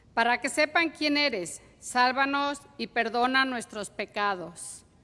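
A woman speaks very slowly in a raised, projected, high voice. Her pitch varies in an ordinary way. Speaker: psalmist. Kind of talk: reading aloud. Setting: church. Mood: solemn, prayerful. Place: church. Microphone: podium.

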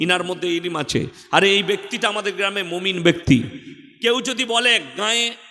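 Using a raised, projected voice, a man speaks at a high pitch with ordinary pitch variation. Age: 30s. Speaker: Islamic preacher. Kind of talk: sermon. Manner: animated.

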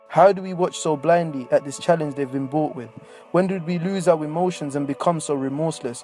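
Fairly high male voice at a fairly quick pace, fairly even in intonation, with music in the background. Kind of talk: spoken word poetry.

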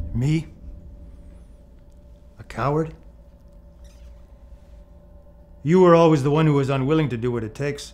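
Fairly even intonation from a man at a moderate pace, with long, frequent pauses. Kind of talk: acted drama dialogue. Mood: menacing, intense. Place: home room.

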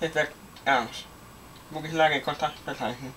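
Over light background noise, a man speaks at a moderate pace with a fairly high pitch. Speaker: hobbyist video maker; hobbyist demonstrating fire alarm panel. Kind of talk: product demonstration; tutorial. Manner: casual. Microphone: phone near.

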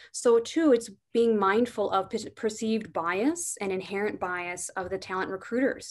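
Her pitch is medium for a woman. The woman's pitch variation is ordinary. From US Midwest. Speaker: corporate diversity manager; panelist. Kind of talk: webinar panel discussion. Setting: video call. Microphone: video call.

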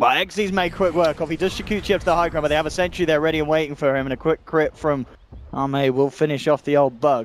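Noticeable background noise surrounds a man whose fairly high pitch shows ordinary variation. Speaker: esports commentator. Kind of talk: live commentary. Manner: fast, excitable play-by-play; rapid-fire, narrating action.

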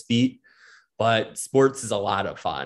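Here a man talks at a fairly slow pace in an ordinary speaking voice. The recording is very clean, with a silent background. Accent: American. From Wisconsin, Milwaukee suburbs. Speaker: sports reporter. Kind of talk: casual chat.

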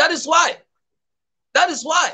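A man's bright, sharp voice, raised and projected, at a moderate pace over a quiet background. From Nigeria, Edo State. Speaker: political activist; guest commentator. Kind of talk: political commentary. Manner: impassioned. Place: home room.

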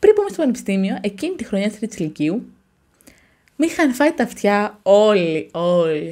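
A woman's dark, mellow voice with very wide pitch swings at a fairly slow pace against a quiet background. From Greece, provincial. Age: 20s. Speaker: YouTuber, university student; YouTuber. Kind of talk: casual vlog monologue. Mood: passionate, animated. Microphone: studio mic.

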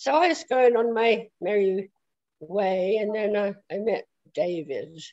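A woman with a southern English accent speaks very slowly in a dark, mellow tone, her intonation lively against a quiet background. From south London, England. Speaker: prophetic speaker; interview guest, speaker. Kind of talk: testimony. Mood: relaxed, reminiscing. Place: home room. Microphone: video call.

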